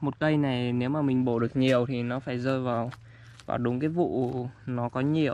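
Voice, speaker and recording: A fairly slow pace in a dry sound with no echo, with light background noise. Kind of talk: tutorial. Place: forest. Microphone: phone near.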